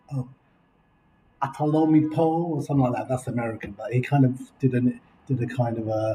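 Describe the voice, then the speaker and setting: A man with an English accent speaks at a fairly quick pace in a medium-pitched, somewhat breathy voice with a dark, mellow tone, leaving long, frequent pauses. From England. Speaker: video blogger. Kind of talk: casual chat. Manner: animated. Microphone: laptop recording.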